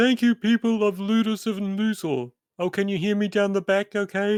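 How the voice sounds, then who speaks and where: A man uses a put-on character voice pitched high. He delivers it at a moderate pace. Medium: actual play. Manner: polite, dry.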